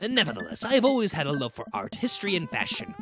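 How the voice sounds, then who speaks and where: A man speaks very fast in a strained, high-pitched, put-on character voice. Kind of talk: formal, polished.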